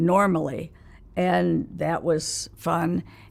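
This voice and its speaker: Very deep and low in pitch, a woman speaks with an American accent. Her pace is very slow. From Los Angeles, California. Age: 90s. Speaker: interviewee recounting her life. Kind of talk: interview, life story. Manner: halting, with many fillers.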